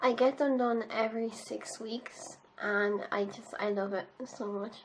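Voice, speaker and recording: In an Irish accent, a woman with a fairly high pitch talks at a fairly slow pace with fairly even intonation. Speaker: beauty youtuber. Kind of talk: makeup tutorial. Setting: home, filming in pyjamas. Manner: casual, chatty.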